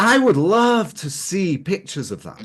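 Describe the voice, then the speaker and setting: A man speaks at a fairly slow pace with an English accent, his pitch swinging very widely. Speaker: capital-raising expert. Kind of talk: casual chat. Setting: webinar video call.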